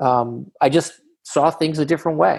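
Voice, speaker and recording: Using a plain, everyday voice, a man with an American accent talks at a fairly high pitch with ordinary pitch variation. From Boston, Massachusetts (Jamaica Plain). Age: 50s. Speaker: company founder and CEO. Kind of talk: interview.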